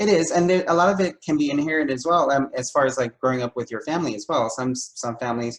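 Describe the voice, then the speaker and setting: A man with a fairly high voice, talking very fast with hardly any pauses. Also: ordinary pitch variation. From Argentina. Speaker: university diversity staff interviewer. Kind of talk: interview. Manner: halting.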